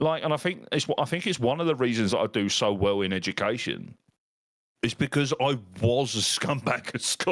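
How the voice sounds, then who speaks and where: A man with an English accent, medium pitch and lively intonation at a moderate pace. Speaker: podcast host and teacher. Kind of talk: casual chat. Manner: loud.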